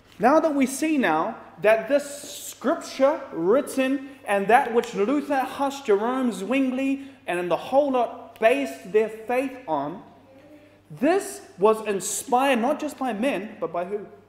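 Audible room echo carries a man's extremely high-pitched voice. He speaks very slowly, with lively intonation. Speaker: preacher. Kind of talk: sermon with congregation call-and-response, Bible study. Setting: church with live audience. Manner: animated, rhetorical questions, prompts audience to say amen. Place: hall.

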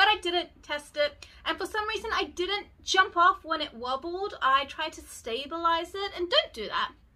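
A woman's raised, projected voice, bright and sharp in tone, at a moderate pace. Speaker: beauty vlogger. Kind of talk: casual vlog chat. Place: home room. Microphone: phone near.

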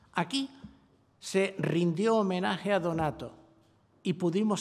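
This is a man speaking. His pace is fairly slow. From Canary Islands. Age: old. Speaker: cultural institution director; presenter. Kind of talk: formal speech. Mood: formal, appreciative. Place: hall. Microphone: podium.

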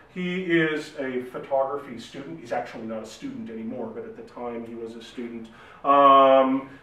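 A man is heard with audible room echo. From Saskatchewan, Canada. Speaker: academic, digital humanities researcher; presenter. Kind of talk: lecture. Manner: hesitant, many fillers and repeats. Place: meeting room. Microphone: camera far.

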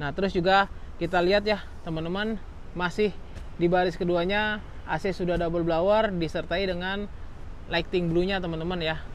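Over light background noise, a man speaks in a high, flat monotone, with a dry sound and no echo. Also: moderate pace. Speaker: used car salesman and video host. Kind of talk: casual sales review. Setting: outdoors at car lot, filming a walkaround.

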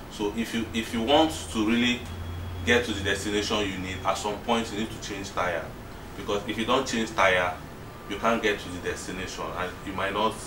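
A man speaks with fairly even intonation. Noticeable background noise can be heard. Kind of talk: explanation to a group. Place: home room. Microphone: camera far.

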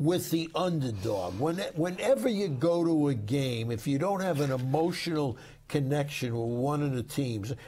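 The speaker is a man with a dark, mellow tone and a fairly high pitch. He moves at a moderate pace with lively intonation. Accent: New York. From New York, Brooklyn. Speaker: sportswriter. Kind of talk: casual chat.

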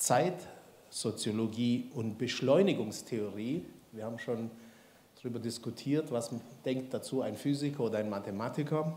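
Over audible room echo, a man with a dark, mellow tone speaks at a moderate pace, with ordinary pitch variation and long, frequent pauses. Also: medium pitch for a man. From Swabia, Baden-Württemberg. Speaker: institute director and event host. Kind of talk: speaker introduction. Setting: lecture hall with audience. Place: hall. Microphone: handheld.

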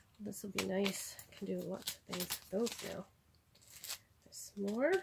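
Noticeable background noise runs under a woman speaking at a fairly slow pace. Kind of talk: casual haul vlog chat. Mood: pleased, warm. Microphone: phone near.

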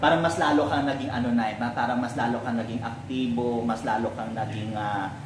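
A man talks at a fairly quick pace with hardly any pauses. The recording has audible room echo and noticeable background noise. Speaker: vlogger. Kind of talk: casual interview, host questions. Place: home room. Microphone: camera far.

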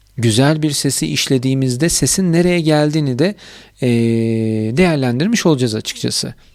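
At a moderate pace, a man talks in a fairly high pitch with lively intonation. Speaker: YouTuber reviewing audio gear. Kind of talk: product review tutorial.

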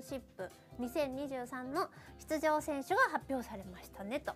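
Faint music plays in the background as a woman speaks in a high pitch at a moderate pace. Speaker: voice actor, radio personality. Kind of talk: casual radio talk show. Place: studio.

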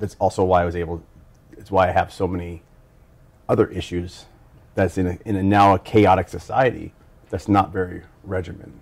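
Very deep, low male voice, monotone and flat, at a fairly quick pace broken by long, frequent pauses. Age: 40s. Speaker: formerly incarcerated university student; interviewee. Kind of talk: personal testimony interview. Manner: halting, with frequent fillers. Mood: reflective, personal. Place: home room.

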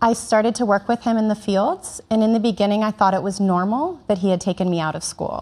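A woman talks at a fairly quick pace with ordinary pitch variation. She has a normal speaking voice. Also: medium pitch for a woman, hardly any pauses. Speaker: interpreter. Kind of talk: consecutive interpretation.

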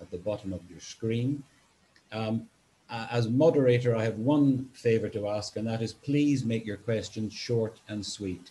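Over light background noise, a man with a dark, mellow, somewhat breathy tone speaks at a fairly slow pace with ordinary pitch variation. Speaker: webinar moderator. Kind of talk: event moderation introduction. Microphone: video call.

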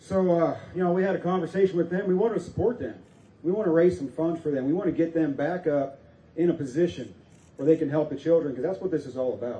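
A high-pitched male voice with a dark, mellow tone, ordinary pitch variation and a very fast pace, plus audible room echo. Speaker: rally emcee and preacher. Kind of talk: rally speech, Bible-laced sermon-style patriotic address. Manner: energetic, folksy, stirring, crowd-rousing. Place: open country.

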